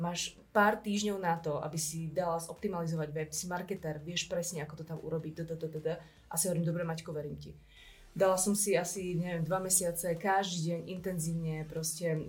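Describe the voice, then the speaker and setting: This woman's voice is fairly low and somewhat breathy. Her intonation is monotone and flat, and her pace is fairly quick. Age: 30s. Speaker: entrepreneur and marketer. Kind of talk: casual interview. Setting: studio.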